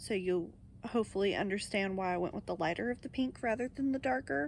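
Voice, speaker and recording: This woman talks at a very fast pace, her medium pitch moving with ordinary variation. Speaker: crochet vlogger. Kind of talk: casual vlog talk to camera.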